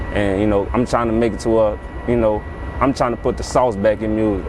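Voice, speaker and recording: Noticeable background noise under a man going at a very fast pace. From US South, Baton Rouge, Louisiana. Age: 20s. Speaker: rapper and label owner. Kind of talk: interview. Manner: casual, conversational.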